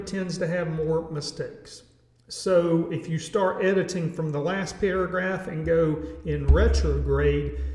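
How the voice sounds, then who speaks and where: A man speaks at a fairly slow pace with a Southern US accent. The clip carries audible room echo and noticeable background noise. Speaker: educator, music teacher. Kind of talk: tutorial. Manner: casual, halting with fillers.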